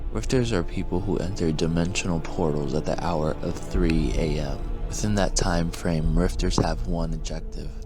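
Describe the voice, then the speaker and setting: This man's voice is very deep and low, with lively intonation and hardly any pauses at a moderate pace. Music plays in the background. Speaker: storyteller. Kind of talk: horror story narration.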